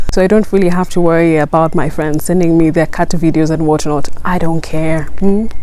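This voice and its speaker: A woman speaks at a fairly low pitch and a fairly quick pace in a monotone, flat delivery, with very even loudness and hardly any pauses, over noticeable background noise. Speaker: YouTuber. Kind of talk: tutorial. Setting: outdoors. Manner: some stuttering.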